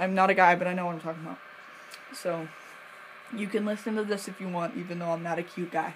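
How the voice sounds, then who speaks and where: A woman talks at a fairly quick pace in a medium pitch. Noticeable background noise is present. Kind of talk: casual talk to camera. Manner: hesitant, stuttering at times.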